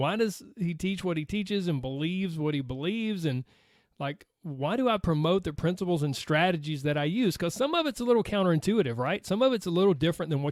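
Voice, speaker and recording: A fairly high-pitched man with an American accent, very fast and with lively intonation, on a very clean recording with a silent background. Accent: Southern US accent, noticeable to outsiders. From US South, Georgia. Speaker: podcast host, weight loss coach. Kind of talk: casual podcast monologue.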